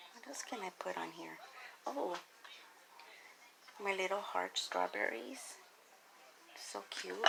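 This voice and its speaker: A soft-spoken woman at a very slow pace, with long, frequent pauses, big swings in loudness and noticeable background noise. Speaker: home cooking vlogger. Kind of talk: cooking tutorial. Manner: hesitant.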